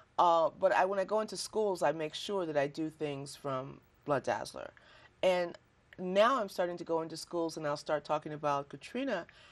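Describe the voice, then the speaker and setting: With a plain, everyday voice, a woman speaks in an American accent at a fairly low pitch and a moderate pace, with lively intonation over a quiet background. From Chicago, US Midwest. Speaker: poet. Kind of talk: interview.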